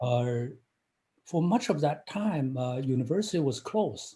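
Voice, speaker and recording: A man speaks at a very slow pace in a fairly high voice. His tone is dark and mellow, and somewhat breathy. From China. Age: 50s. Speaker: engineering professor. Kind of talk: interview. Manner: halting, many fillers.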